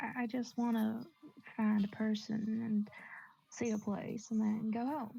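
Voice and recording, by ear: A natural voice can be heard. It is reading aloud.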